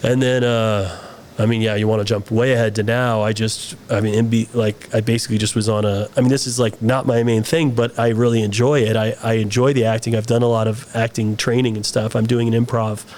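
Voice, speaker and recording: Speech runs at a fairly quick pace with hardly any pauses, monotone, flat intonation and very even loudness. Noticeable background noise is in the background. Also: man, medium pitch for a man. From US, born in Saudi Arabia to expat family. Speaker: film director and actor. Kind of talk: interview conversation. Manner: hesitant, many fillers and restarts.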